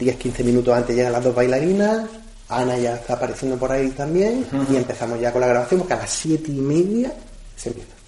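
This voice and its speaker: Against noticeable background noise, a man talks very fast at a medium pitch. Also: ordinary pitch variation. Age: 30s. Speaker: magician. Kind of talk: interview. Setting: at his home.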